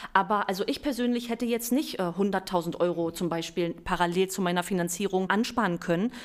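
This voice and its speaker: An unremarkable speaking voice from a woman, medium in pitch with ordinary pitch variation, fairly quick and with hardly any pauses. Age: 30s. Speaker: bank real estate expert. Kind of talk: podcast interview.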